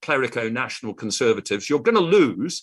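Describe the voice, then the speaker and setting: A man with a British accent, fairly high-pitched, with very wide pitch swings, a moderate pace and a quiet background. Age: 60s. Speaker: economist and conference speaker. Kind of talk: conference presentation.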